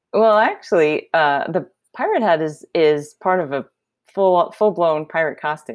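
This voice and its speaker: In an American accent, a woman with an ordinary speaking voice talks at a moderate pace, her medium pitch carried by lively intonation. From New York City. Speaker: software engineer. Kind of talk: interview.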